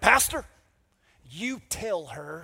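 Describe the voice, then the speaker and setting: A man puts on a character voice with a high pitch. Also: very clean recording, silent background. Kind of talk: put-on, the speaker's go-to voice.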